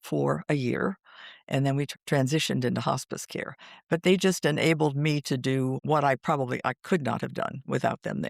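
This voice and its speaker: A woman's very deep, low voice with vocal fry and ordinary pitch variation, at a moderate pace, dry and close with no echo, on a very clean recording with a silent background. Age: 80s. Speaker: hospice volunteer and widowed caregiver. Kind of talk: interview. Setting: podcast. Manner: halting, many fillers.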